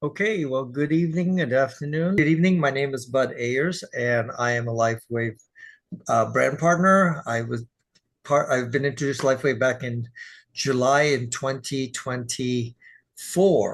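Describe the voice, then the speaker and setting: A man speaks at a moderate pace with an American accent, his voice somewhat breathy. His pitch sits in the medium range and varies in an ordinary way. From Texas. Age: 60s. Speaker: dance teacher and sales partner. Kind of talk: casual interview.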